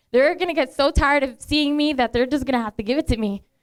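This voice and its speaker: Very fast, a woman talks with a Spanish accent. Her voice is high, with ordinary pitch variation. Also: dry, close sound with no echo. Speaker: beauty pageant contestant. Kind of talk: speech to an audience. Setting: bar and lounge event. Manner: casual, with fillers.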